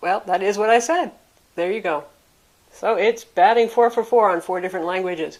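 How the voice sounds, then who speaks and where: A woman with a normal speaking voice and an American accent, medium in pitch, at a fairly quick pace. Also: ordinary pitch variation. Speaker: tech reviewer. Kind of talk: product review.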